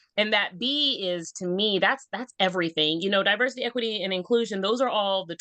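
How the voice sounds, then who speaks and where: Speaking with an American accent, a woman sounds animated at a fairly quick pace. Her medium pitch shows ordinary variation. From Texas. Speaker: school counselor. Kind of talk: podcast interview.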